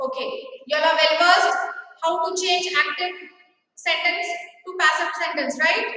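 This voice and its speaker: A woman with an extremely high pitch speaks in a raised, projected voice, leaving long, frequent pauses. Audible room echo is present. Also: ordinary pitch variation. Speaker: school teacher. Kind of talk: online class lecture. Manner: slow.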